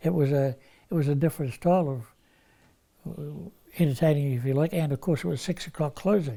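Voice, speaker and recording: In a New Zealand accent, a man with a fairly high pitch and a dark, mellow, somewhat breathy tone speaks at a fairly quick pace with long, frequent pauses, on a very clean recording with a silent background. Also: ordinary pitch variation. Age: 80s+. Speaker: retired crane driver. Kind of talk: interview answer.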